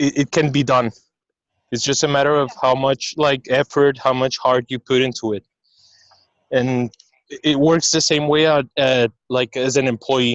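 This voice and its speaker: With a non-native accent, a man speaks at medium pitch and a moderate pace in a flat, monotone way, taking long, frequent pauses. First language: not English. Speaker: restaurant business owner. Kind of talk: personal testimony. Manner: halting.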